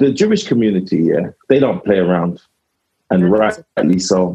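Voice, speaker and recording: A dark, mellow tone with a South London accent. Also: man. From south London (Lewisham). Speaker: comedian. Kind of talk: casual chat.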